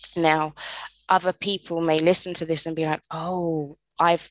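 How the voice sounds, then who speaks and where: With a British accent, a woman speaks at a fairly slow pace and a fairly low pitch in a monotone, flat intonation, with a dry, close sound with no echo and a quiet background. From London, England. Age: 30s. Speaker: podcast host. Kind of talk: solo podcast monologue.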